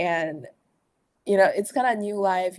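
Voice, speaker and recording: In a Chinese accent, the speaker talks with ordinary pitch variation over a quiet background. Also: woman. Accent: Chinese-accented English, non-native. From China. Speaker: management consultant. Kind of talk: podcast interview. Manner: halting, many fillers.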